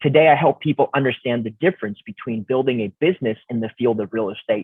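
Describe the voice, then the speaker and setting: The speaker is a man with an ordinary speaking voice and a medium pitch. He moves at a fairly quick pace, with ordinary pitch variation. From Canada, Romanian immigrant family. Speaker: real estate investor, coach, motivational speaker. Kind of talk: podcast interview.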